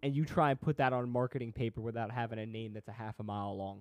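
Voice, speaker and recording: With a dry, close sound, no echo and a quiet background, a man uses an ordinary speaking voice at a medium pitch, with ordinary pitch variation and a fairly quick pace. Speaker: guest. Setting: video call.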